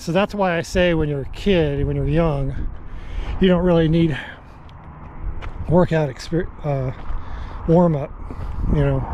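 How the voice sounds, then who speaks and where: Noticeable background noise accompanies a man whose fairly high voice shows ordinary pitch variation at a moderate speed. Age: 60s. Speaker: hiking vlogger. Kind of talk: casual vlog monologue while hiking.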